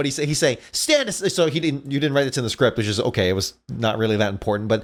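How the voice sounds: A natural reading voice with lively intonation.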